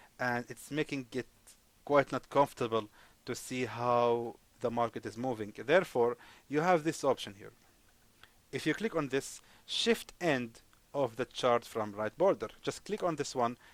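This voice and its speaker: A man at medium pitch and moderate pace, with ordinary pitch variation and long, frequent pauses, in a dry, close sound with no echo. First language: not English. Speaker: forex trading teacher. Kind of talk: screen-share tutorial. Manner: hesitant, many fillers; casual, friendly.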